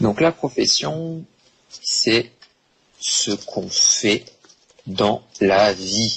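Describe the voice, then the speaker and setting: Very slowly and with long, frequent pauses, a man talks at a medium pitch that swings very widely. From France, Bordeaux. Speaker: French language teacher. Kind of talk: online language lesson. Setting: online live stream class. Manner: slow, deliberate for learners.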